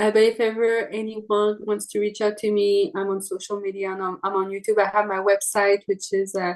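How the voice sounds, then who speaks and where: A woman with a fairly high voice and a Quebec French accent, over a quiet background. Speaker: trumpet player. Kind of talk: interview.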